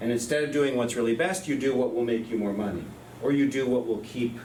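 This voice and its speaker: With noticeable background noise and audible room echo, a man speaks at a very fast pace. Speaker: professor. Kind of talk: lecture.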